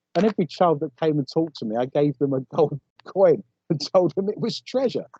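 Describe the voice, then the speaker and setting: A man's fairly high pitch in a dark, mellow tone, with an English accent, lively intonation, a fairly quick pace and a dry, close sound with no echo. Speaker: paranormal investigator. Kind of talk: casual interview chat.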